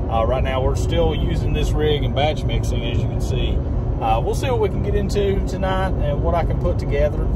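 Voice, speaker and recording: A man talks at a fairly quick pace over loud background noise, his voice dry with no echo. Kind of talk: casual vlog chat. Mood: upbeat, pleased. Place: car. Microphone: phone near.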